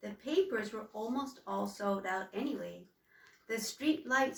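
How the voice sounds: With lively intonation, a natural reading voice is heard.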